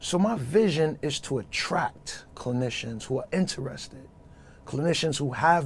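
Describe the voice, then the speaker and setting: Here a man speaks with a Brooklyn accent at a fairly slow pace. His voice is somewhat breathy, with lively intonation. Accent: New York (Brooklyn). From New York City (Brooklyn). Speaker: social worker. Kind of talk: podcast interview.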